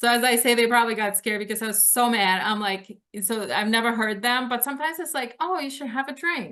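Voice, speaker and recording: Bright and sharp in tone, the voice runs at a very fast pace with hardly any pauses and ordinary pitch variation. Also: woman. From Lithuania. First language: Lithuanian. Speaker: author. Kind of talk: interview.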